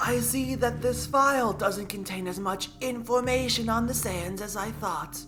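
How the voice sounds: A shrill, put-on character voice at middle pitch and a moderate pace, over clear music in the background.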